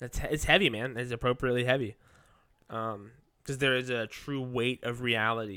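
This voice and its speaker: Speaking at a very fast pace, a man uses a medium pitch and fairly even intonation. His tone is bright and sharp, on a very clean recording with a silent background. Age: 20s. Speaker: podcast co-host. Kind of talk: casual chat.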